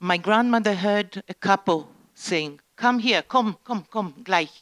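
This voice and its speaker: A woman speaks with an Israeli accent at a very slow pace. The sound is dry and close, with no echo. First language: Hebrew. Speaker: Holocaust survivor's daughter giving testimony. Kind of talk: talk to school students. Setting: education centre with students. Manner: halting.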